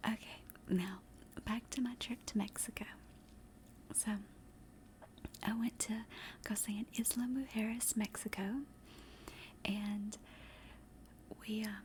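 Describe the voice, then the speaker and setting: With a relaxed tone and a fairly high pitch, a woman speaks in a somewhat breathy, monotone, flat way at a fairly slow pace with long, frequent pauses. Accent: American. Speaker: ASMR streamer / vtuber. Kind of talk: casual storytelling to an audience. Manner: chatty, relaxed, with filler words.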